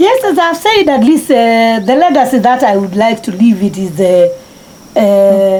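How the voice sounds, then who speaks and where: A woman with a fairly high pitch and very wide pitch swings, fairly slow yet with hardly any pauses, amid noticeable background noise. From Kenya, Machakos county. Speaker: marathon runner. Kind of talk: interview. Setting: at home. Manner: halting.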